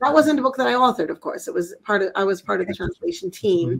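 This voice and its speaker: The speaker has an American accent. Vocal fry runs through the voice. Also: woman. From US suburbs. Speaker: Islamic scholar and educator; educator. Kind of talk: interview. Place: home room.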